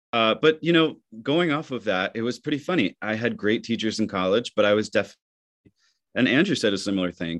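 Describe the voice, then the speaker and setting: A plain, everyday voice: a man of medium pitch with an American accent, lively intonation and a quiet background. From Michigan. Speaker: theater actor. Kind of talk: interview.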